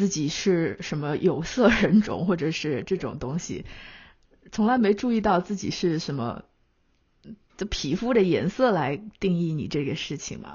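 Here is a woman with an unremarkable speaking voice and a fairly low pitch. Her intonation is lively and her pace fairly slow. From China. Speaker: magazine editor and podcast host. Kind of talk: casual conversation.

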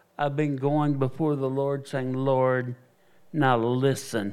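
A man's fairly high voice with a Southern US accent. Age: 60s. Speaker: evangelist and missionary preacher. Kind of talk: testimony. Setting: church. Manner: animated.

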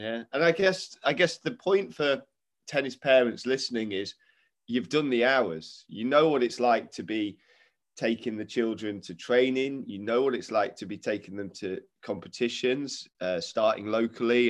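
A man with an East Midlands accent speaks at a medium pitch and moderate pace, with ordinary pitch variation. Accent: Derby East Midlands English. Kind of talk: casual interview. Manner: animated, enthusiastic.

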